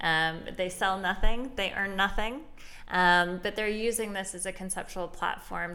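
With audible room echo, a woman speaks at a moderate pace in a fairly low pitch, her tone bright and sharp. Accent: American. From Chicago south suburbs, Illinois. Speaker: gallery director and curator. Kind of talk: casual interview. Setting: art gallery.

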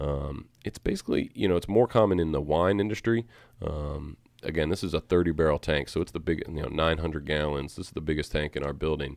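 Over a quiet background, a man with a very deep, low pitch talks at a very fast pace. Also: ordinary pitch variation. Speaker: head brewer and co-owner. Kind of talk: casual chat. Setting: studio.

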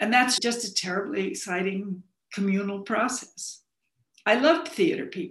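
Speaking in a normal speaking voice, a woman with an American accent keeps a moderate pace. Her pitch is fairly high, and her intonation is lively. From US Southwest, Arizona (Phoenix). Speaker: novelist and playwright. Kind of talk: interview.

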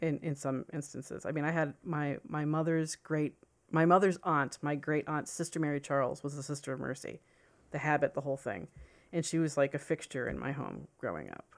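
A woman's very deep, low pitch at a fairly quick pace, with fairly even intonation and a very clean recording over a silent background. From US Northeast, southern Connecticut near New York City. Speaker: journalist and author. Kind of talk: casual interview chat. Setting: studio.

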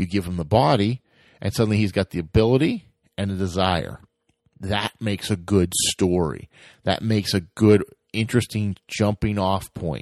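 With a plain, everyday voice, a man speaks at fairly low pitch and a moderate pace, his pitch varying in an ordinary way over a quiet background, the sound dry and close with no echo. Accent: American. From United States. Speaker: podcast host. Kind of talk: solo podcast monologue.

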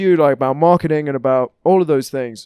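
A British accent in a dry, close sound with no echo. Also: man. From England. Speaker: comedian and actor. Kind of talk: casual chat.

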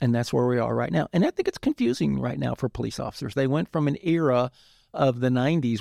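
Against a quiet background, a man speaks in a dark, mellow tone with a dry, close sound and no echo. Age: 60s. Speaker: retired police chief. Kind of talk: interview.

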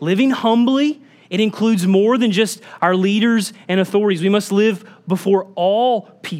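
An animated, moderate-paced delivery in an American accent, with noticeable background noise. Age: 30s. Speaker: pastor. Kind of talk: sermon.

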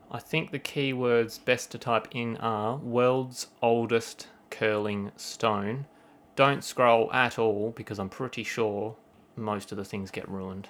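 On a very clean recording with a silent background, a man with an Australian accent speaks at a very slow pace with fairly even intonation. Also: medium pitch for a man. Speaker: podcast host. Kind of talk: casual chat.

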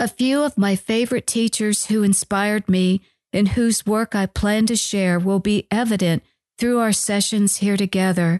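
A woman with a plain, everyday voice and an American accent, medium pitch, fairly even intonation, very even loudness and a moderate pace, in a dry, close sound with no echo and a quiet background. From US Midwest, northern Iowa. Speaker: nutritionist and dietitian podcast host. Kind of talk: scripted narration.

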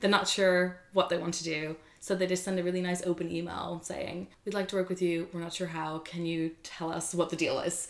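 A woman talks at a fairly quick pace with hardly any pauses, her pitch fairly low and her intonation monotone and flat. Noticeable background noise sits behind her. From Netherlands. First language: Dutch. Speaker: YouTuber and freelance content creator. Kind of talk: interview conversation.

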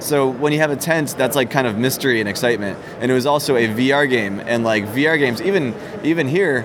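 A man talks at a fairly quick pace and medium pitch, with ordinary pitch variation and very even loudness. Audible room echo and noticeable background noise are present. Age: 30s. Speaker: indie game developer. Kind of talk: casual interview. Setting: conference floor. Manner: halting, many repeated words.

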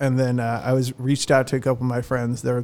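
In an American accent, a man talks at medium pitch with monotone, flat intonation. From Southern California. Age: 30s. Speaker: bar manager. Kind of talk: casual interview. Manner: halting.

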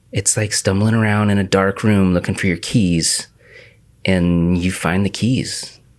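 With an American accent, a man speaks fairly slowly in a fairly low, flat monotone at very even loudness. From US Pacific Northwest, The Dalles, Oregon. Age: 30s. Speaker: podcast host. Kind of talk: casual chat.

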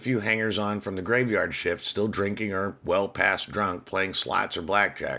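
The text is read aloud in a natural voice. Intonation stays fairly even.

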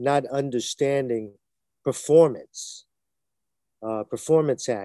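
A man with a Brooklyn accent talks at a fairly slow pace in a dark, mellow, medium-pitched voice, with a dry, close sound with no echo and a quiet background. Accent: New York (Brooklyn). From US Northeast, Brooklyn, New York. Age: 60s. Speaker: stuntman and martial artist, author. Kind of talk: interview. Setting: video call. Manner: halting, many fillers.

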